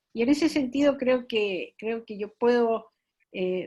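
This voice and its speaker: A woman speaks at a fairly slow pace with a high voice. Her intonation is lively, and the background is quiet. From Chile. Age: old. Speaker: feminist activist. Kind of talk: panel discussion. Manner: halting.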